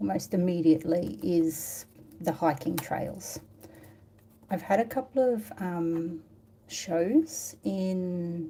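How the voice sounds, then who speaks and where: In an Australian accent, a woman speaks very slowly in a fairly low pitch. Her tone is dark and mellow, somewhat breathy, with lively intonation. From Australia, Tasmania. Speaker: watercolour artist. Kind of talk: live painting tutorial chat. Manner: casual, hesitant with fillers.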